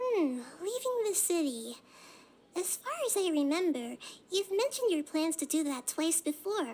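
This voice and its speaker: In a put-on character voice, a woman speaks at a moderate pace, squeaky and extremely high-pitched. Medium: game stream.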